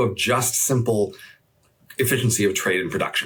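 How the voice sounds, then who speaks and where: This is a man at a medium pitch. He has an unremarkable speaking voice. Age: 60s. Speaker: economist. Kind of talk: interview conversation.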